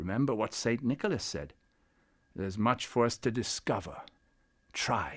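A put-on character voice with a fairly bright tone, a slightly husky edge, lively intonation and a fairly slow pace. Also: man, fairly low pitch for a man.

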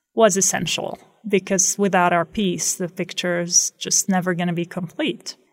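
A woman's medium-pitched voice with an Arabic accent and fairly even intonation. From Palestine, West Bank (Beit Sahour near Bethlehem). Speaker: math lecturer. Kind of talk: interview testimony. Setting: radio studio.

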